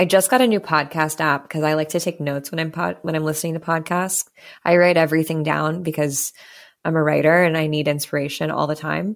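Her voice sits at a very deep, low pitch, and the woman talks at a fairly quick pace. The recording is very clean with a silent background. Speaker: wellness business founder. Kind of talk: casual chat. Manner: loud.

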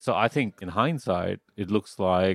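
A man's very deep, low pitch. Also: dry, close sound with no echo, quiet background. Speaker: podcast host. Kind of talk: casual interview.

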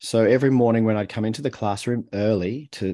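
In an Australian accent, a man speaks at a fairly quick pace with a medium pitch and a dark, mellow tone over a quiet background. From Australia, Melbourne. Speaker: author and communication coach. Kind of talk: interview conversation.

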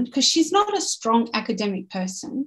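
A somewhat breathy woman with an Australian accent at a moderate pace. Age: 50s. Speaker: business owner and team development coach. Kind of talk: casual chat.

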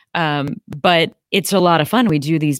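The voice has an American accent and ordinary pitch variation. The recording is very clean, with a silent background and a dry, close sound with no echo. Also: woman. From US Midwest. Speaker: ice cream company founder. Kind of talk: interview.

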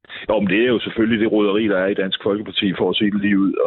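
A man with a fairly low pitch and fairly even intonation speaks in a plain, everyday voice. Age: 50s. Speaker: local politician. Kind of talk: political debate. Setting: phone call.

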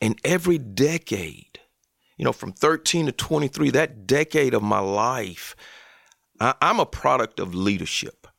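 A man with a Southern US accent speaks at a fairly slow pace, at a medium pitch with vocal fry and very wide pitch swings. The sound is dry and close, with no echo. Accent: Southern American. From US South, Columbus, Georgia / Phenix City, Alabama. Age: 50s. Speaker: college football chaplain, former NFL player. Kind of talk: interview.

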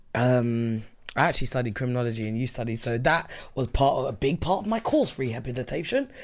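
Talking very fast, a woman with a London accent uses a very deep, low pitch that varies in an ordinary way. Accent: London (Multicultural London English). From London (Southeast). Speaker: returning podcast guest. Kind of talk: casual chat.

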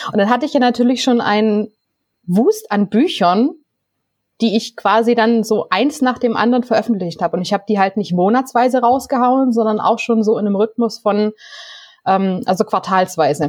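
A woman's ordinary speaking voice at a moderate pace, with ordinary pitch variation and very even loudness. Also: fairly high pitch for a woman. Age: 30s. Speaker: novelist. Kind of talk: casual interview.

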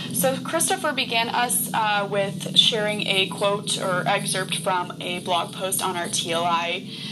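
Over music in the background, a woman speaks at a very slow pace with hardly any pauses. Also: medium pitch for a woman, ordinary pitch variation. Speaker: co-host. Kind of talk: moderated online group discussion.

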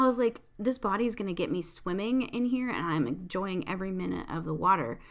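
A woman speaks in an ordinary speaking voice at a medium pitch. She moves at a fairly quick pace with lively intonation and hardly any pauses. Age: 40s. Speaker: podcast host and tarot reader. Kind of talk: casual solo monologue. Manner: chatty, frequent laughs.

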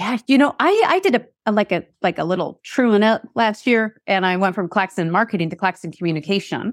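Her American accent comes at a fairly quick pace with hardly any pauses, as this woman speaks at a medium pitch with ordinary pitch variation. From Seattle, US Pacific Northwest. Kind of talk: casual interview conversation. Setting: remote call. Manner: fast talker.

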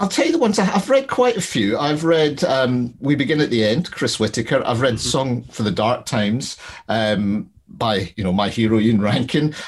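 Speaking in a Glaswegian accent, a man with a medium pitch keeps a moderate pace and lively intonation. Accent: Glaswegian Scottish. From Scotland, Glasgow. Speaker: crime novelist. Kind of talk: casual interview.

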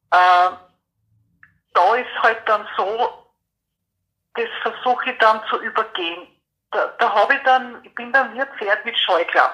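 Bright and sharp in tone, a woman with a fairly high pitch and ordinary pitch variation talks at a fairly slow pace, with long, frequent pauses and big swings in loudness. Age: 50s. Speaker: person with PTSD sharing experience. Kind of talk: interview testimony. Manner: halting.

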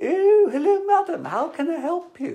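A female-sounding, squeaky put-on character voice at an extremely high pitch, speaking at a moderate pace. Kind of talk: posh.

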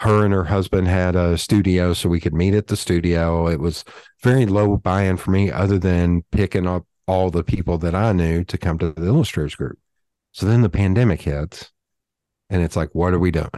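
A man talks at a moderate pace with a very deep, low pitch and a dark, mellow tone. His intonation is fairly even, and the sound is dry and close with no echo. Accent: Southern US. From US South. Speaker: designer and podcaster. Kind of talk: casual interview.

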